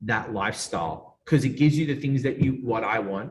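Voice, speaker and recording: Somewhat breathy and energetic in tone, a man speaks at a medium pitch. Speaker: PR agency founder. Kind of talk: casual interview chat.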